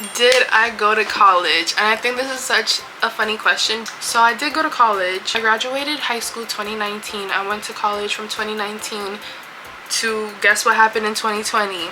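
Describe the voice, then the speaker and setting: A woman with a New York accent speaks at a fairly quick pace in an animated tone and fairly high pitch, over noticeable background noise. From New York (Yonkers). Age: 20s. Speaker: beauty vlogger. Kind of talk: casual chat.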